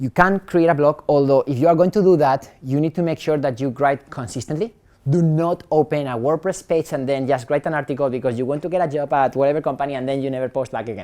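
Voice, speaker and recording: This man has a non-native accent and talks at a very fast pace, his fairly high pitch showing ordinary variation. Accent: foreign. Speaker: startup founder and speaker. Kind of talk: talk at a meetup.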